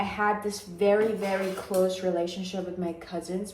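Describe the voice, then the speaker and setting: A woman's medium-pitched, monotone, flat delivery at a moderate pace, with noticeable background noise. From Iran. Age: 20s. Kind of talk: casual talk to camera. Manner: chatty, informal.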